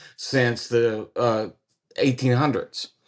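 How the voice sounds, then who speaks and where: A man's medium-pitched voice with a Kentucky accent. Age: 40s. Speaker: card shop owner. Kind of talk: interview conversation.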